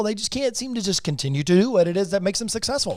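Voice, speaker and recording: An animated man talks at a very fast pace with lively intonation. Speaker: real estate investor and agent. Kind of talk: podcast interview.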